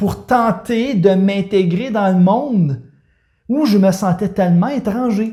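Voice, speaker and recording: Speaking at a very slow pace with a Quebec accent, a man uses a high pitch, ordinary pitch variation and a dark, mellow tone. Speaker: life coach. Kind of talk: personal testimony. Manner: halting, with many repetitions and hesitations.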